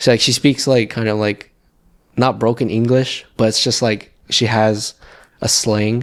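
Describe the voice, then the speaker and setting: With an American accent, a man speaks at a fairly slow pace in a medium pitch and a monotone, flat intonation, on a very clean recording with a silent background. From Los Angeles, US. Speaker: fashion model. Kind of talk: casual interview.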